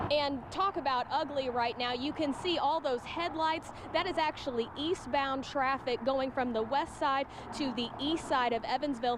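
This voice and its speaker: With an American accent, the speaker keeps a moderate pace, ordinary pitch variation and very even loudness over noticeable background noise. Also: woman, high pitch for a woman. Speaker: television news reporter. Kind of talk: TV news reporter live report. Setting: outdoors, live on location.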